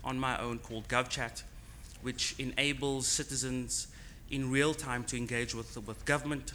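A man's voice with audible room echo. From South Africa, Cape Town. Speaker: tech startup founder. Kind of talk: conference talk. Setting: conference on location.

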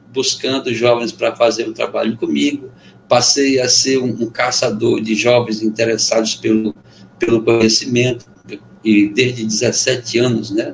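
Noticeable background noise behind a fairly slow pace of speech. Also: man. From Amazonas interior, Brazil (Benjamin Constant). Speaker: poet, musician and former teacher. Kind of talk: casual interview chat. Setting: video call.

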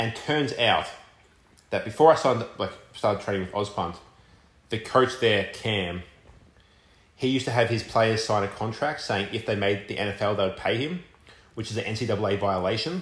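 Here a man talks at a moderate pace, leaving long, frequent pauses. His voice is somewhat breathy. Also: medium pitch for a man, ordinary pitch variation. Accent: Australian. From Australia, Melbourne. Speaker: college football punter. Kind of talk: casual chat.

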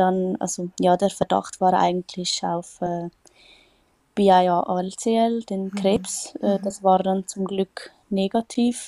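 Her tone is dark and mellow, at a medium pitch for a woman. She speaks at a very slow pace, recorded dry and close with no echo. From Switzerland. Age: 20s. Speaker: patient sharing her illness story. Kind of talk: interview testimony. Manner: hesitant, many fillers.

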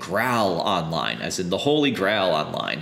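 Amid noticeable background noise, a man speaks in an animated tone. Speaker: game designer. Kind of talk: interview.

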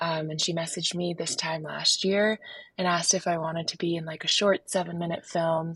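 A woman with an American accent talks at a moderate pace in a somewhat breathy, fairly low voice. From Park City, Utah. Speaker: professional skier and film producer. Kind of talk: casual interview.

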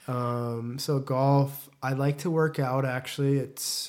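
The voice has a General American accent. Its intonation is monotone and flat. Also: man. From Las Vegas, US. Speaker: ice hockey player. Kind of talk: interview.

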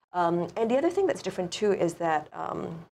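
A woman with a Singaporean accent at a fairly quick pace. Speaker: author and college theater teacher. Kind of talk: interview. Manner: animated.

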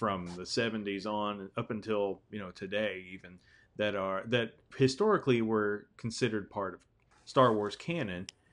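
In a quiet background, a man with an ordinary speaking voice and fairly low pitch talks at a moderate pace with fairly even intonation and big swings in loudness. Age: 30s. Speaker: podcast host. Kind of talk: casual chat.

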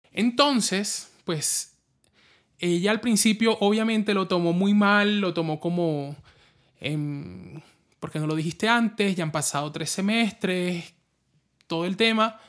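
In a very clean recording with a silent background, the speaker goes at a very slow pace with ordinary pitch variation and long, frequent pauses. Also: man, high pitch for a man. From Colombia, La Guajira (Caribbean coast). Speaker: podcast host, advertising professional. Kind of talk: personal storytelling monologue.

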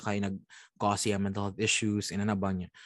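A man with a Visayan Filipino accent speaks in a fairly low pitch against a quiet background. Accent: Filipino (Cebuano) English. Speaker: podcast co-host. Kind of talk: casual chat.

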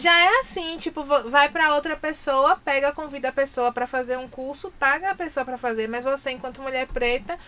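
The voice is raised and projected, moving at a moderate pace with hardly any pauses, ordinary pitch variation and big swings in loudness. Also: woman. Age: 30s. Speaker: journalist and press officer. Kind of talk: casual chat.

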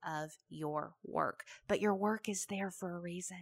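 Speaking in a Southern US accent, a woman goes at a very slow pace. Her pitch is medium. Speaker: podcast host. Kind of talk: solo monologue, motivational talk. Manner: conversational, animated.

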